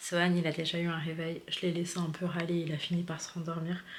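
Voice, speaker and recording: A woman with a fairly low-pitched voice keeps a moderate pace despite noticeable background noise. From Paris, France. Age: 20s. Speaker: family vlogger, stay-at-home mom. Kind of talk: casual vlog talk to camera. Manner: soft-spoken.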